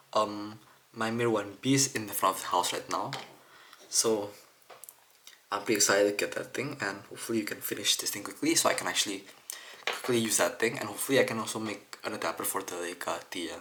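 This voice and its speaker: Amid noticeable background noise, a soft-spoken man with a fairly low pitch talks at a very fast pace, with fairly even intonation and long, frequent pauses. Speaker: camera lens repair hobbyist. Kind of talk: tutorial.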